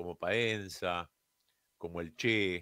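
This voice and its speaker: Against a quiet background, a man's bright, sharp tone comes through a dry sound with no echo. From Argentina. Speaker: radio host and broadcasting teacher; radio show host. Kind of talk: radio monologue. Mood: relaxed, wry. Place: studio. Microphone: studio mic.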